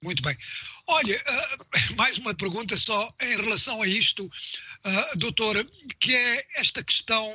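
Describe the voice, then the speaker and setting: A man speaks in a raised, projected voice, high-pitched and with ordinary pitch variation. He moves at a fairly slow pace, with long, frequent pauses. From Mozambique. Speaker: radio host. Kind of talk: radio interview; news reading.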